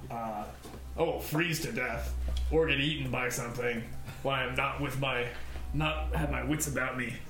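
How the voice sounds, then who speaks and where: Using a put-on character voice, a man talks at a moderate pace over clear background noise with a slight echo. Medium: actual play. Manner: mumbling, cautious.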